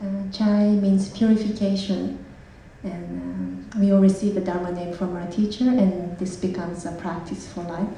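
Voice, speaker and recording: A woman with a Japanese accent speaks at a moderate pace, her medium pitch showing ordinary variation. The audio carries audible room echo and noticeable background noise. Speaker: Buddhist nun. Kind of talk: self-introduction at a public talk.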